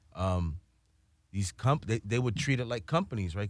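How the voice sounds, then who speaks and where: The recording is very clean and the background silent. Speaking with an American accent, the person uses normal pitch movement. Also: man. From New York City, Washington Heights. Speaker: cannabis entrepreneur. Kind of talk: casual chat.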